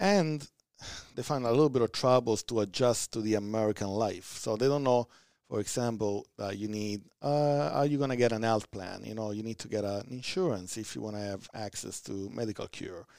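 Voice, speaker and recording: In a very clean recording with a silent background, a man speaks with an Italian accent. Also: medium pitch for a man, ordinary pitch variation, fairly quick pace. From southern Italy. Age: 30s. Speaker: community organization leader. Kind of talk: podcast interview. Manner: energetic.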